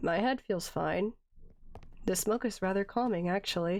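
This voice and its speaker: A woman's raspy, put-on character voice at medium pitch, moderately paced, with ordinary pitch variation. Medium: game stream. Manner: deadpan, dry.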